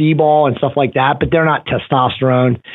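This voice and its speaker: Using a normal speaking voice, a man talks fairly quickly at a fairly high pitch. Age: 40s. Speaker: testosterone therapy expert. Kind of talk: casual interview. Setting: phone call.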